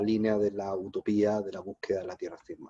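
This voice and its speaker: A man with a Paraguayan accent speaks in a fairly low pitch with a dark, mellow tone, the sound dry and close with no echo. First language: Guarani (speaking Spanish). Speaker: philosophy professor. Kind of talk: academic talk.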